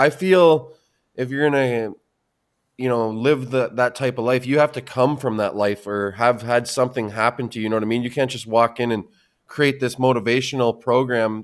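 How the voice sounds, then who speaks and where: With a Canadian accent, a man speaks at a moderate pace and medium pitch with fairly even intonation, an unremarkable speaking voice, on a very clean recording with a silent background. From Canada. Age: 30s. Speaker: podcast host. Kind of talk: casual interview chat.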